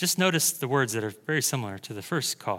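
The very clean recording with a silent background captures a man's fairly high-pitched voice. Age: 40s. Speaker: pastor. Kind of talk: sermon. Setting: church. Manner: animated.

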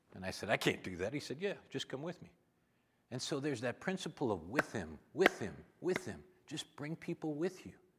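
With an American accent and vocal fry, a man talks at a fairly quick pace in a fairly high voice, making very wide pitch swings and big swings in loudness. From Minnesota. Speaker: visiting preacher. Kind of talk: on-stage interview; sermon. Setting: church.

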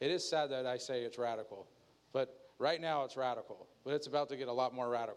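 A man with a normal speaking voice talks fairly quickly at medium pitch, keeping his intonation fairly even. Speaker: pastor. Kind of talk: sermon.

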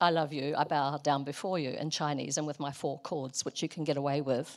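A woman with a New Zealand accent speaks at a moderate pace. The recording is very clean, with a silent background. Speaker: missionary. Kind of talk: sermon. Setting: church.

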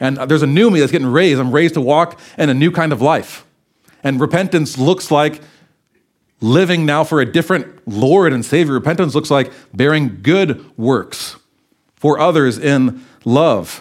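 On a very clean recording with a silent background, a man with an unremarkable speaking voice talks in a fairly high pitch, with very even loudness and ordinary pitch variation. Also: moderate pace. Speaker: preacher. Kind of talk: sermon. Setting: church.

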